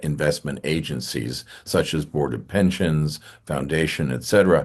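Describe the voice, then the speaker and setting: Against a quiet background, a man with a New England accent talks at a moderate pace with ordinary pitch variation. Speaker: church finance council member. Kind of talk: online meeting presentation.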